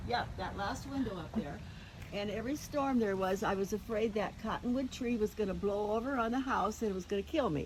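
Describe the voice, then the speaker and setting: A woman with an American accent and a fairly high pitch, at a fairly quick pace with ordinary pitch variation, over noticeable background noise. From US Midwest (Iowa). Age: 80s+. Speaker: elderly woman reminiscing about childhood farm home. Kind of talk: casual chat.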